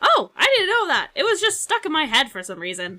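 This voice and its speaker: A woman's put-on character voice at an extremely high pitch and a fairly quick pace. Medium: actual play. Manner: casual, guileless.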